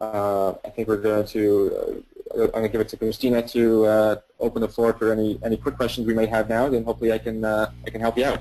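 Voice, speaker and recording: A man speaks very fast at medium pitch in a dark, mellow tone with monotone, flat intonation. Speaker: software product presenter. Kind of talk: webinar product demo. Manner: repetitive filler-heavy, stumbling.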